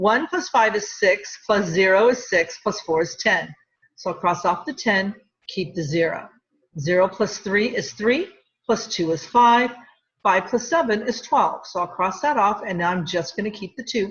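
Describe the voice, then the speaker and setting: At a moderate pace, a woman speaks with a medium pitch and a somewhat breathy sound. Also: lively intonation. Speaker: middle school math teacher. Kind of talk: tutorial.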